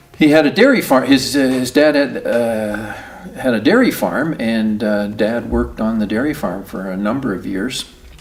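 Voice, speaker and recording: A man's medium-pitched voice with a Canadian accent and ordinary pitch variation, at a moderate pace over noticeable background noise. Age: 60s. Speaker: oral history interviewee. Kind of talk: oral history interview. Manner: halting, many fillers.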